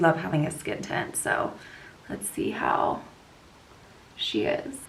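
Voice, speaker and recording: Someone with an American accent speaks at a fairly slow pace with lively intonation, audible room echo and noticeable background noise. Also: woman. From US West Coast, California Bay Area. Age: 20s. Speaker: lifestyle vlogger. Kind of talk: casual chat with makeup tutorial. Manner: chatty, casual.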